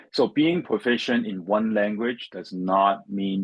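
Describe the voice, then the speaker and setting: In a Chinese accent, a man speaks with a fairly low pitch. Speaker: finance professional, former international student. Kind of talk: interview. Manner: halting, with many repetitions and fillers.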